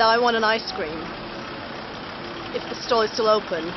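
Noticeable noise in the background behind a woman, her pace moderate. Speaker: sports fan vlogger. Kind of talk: casual vlog chat. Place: street. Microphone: phone near.

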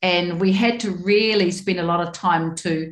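Somewhat breathy voice with audible room echo. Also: woman. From New Zealand. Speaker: member of parliament; panelist. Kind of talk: panel presentation. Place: home room. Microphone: webcam.

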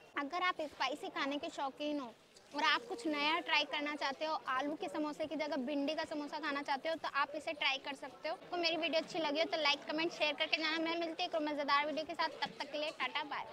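A raised, projected voice comes at a moderate pace with hardly any pauses and fairly even intonation, over noticeable background noise. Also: woman. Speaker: food vlogger. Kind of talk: casual vlog chat. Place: market. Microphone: lapel.

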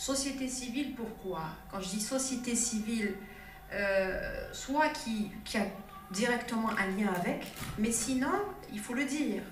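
A woman's very slow speech with long, frequent pauses and ordinary pitch variation, light background noise and audible room echo. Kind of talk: formal speech. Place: hall.

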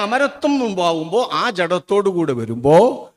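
Recorded very cleanly against a silent background, a man with an unremarkable speaking voice talks with lively intonation. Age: 60s. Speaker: Islamic preacher. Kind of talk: sermon. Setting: stage with audience.

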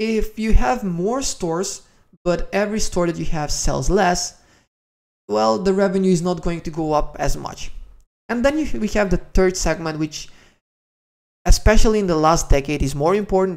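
This man has a fairly high pitch and a slightly mellow tone, with vocal fry, ordinary pitch variation and a moderate pace.

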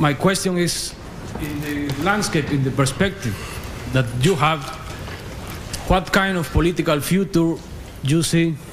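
A man with a Spanish accent, fairly high-pitched, ordinary pitch variation, a fairly slow pace, long and frequent pauses, and noticeable background noise. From Guatemala. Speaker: audience member. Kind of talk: audience question. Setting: stage with audience. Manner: halting. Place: hall. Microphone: podium.

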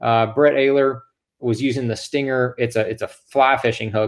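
A man speaks with monotone, flat intonation at a moderate pace. The background is quiet. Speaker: guest. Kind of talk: tutorial. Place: home room. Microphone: video call.

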